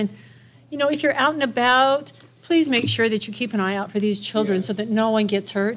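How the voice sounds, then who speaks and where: A woman speaks at a fairly quick pace. Her pitch shows ordinary variation. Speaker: church announcer. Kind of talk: announcements. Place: hall. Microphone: podium.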